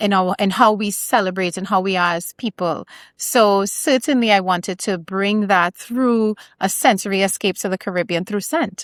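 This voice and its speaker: In a very clean recording with a silent background and a dry, close sound with no echo, a woman with an American accent speaks at a moderate pace and medium pitch with ordinary pitch variation. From Trinidad and Tobago. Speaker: small business founder. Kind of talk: podcast interview.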